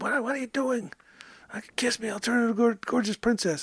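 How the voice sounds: A female-sounding voice, fairly high in pitch, delivers a put-on character voice at a fairly quick pace.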